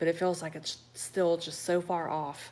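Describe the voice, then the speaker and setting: This woman has an American accent and a fairly low pitch. Her intonation stays fairly even. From Cleveland, Ohio, US Midwest. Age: 40s. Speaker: livestream host. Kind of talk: casual chat reading viewer comments. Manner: relaxed.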